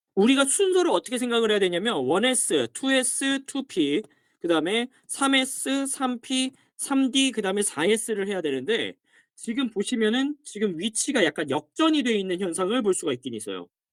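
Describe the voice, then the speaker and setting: An animated voice at a moderate pace, recorded very cleanly over a silent background. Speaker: science teacher. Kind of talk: lecture. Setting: dormitory.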